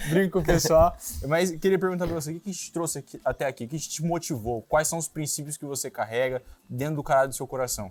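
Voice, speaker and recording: A very fast-talking man with a fairly high pitch and ordinary pitch variation. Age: 20s. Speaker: interviewer. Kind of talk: interview.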